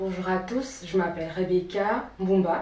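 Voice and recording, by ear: A woman speaks at a moderate pace in a fairly low pitch with ordinary pitch variation and a slightly mellow tone, with audible room echo around her voice.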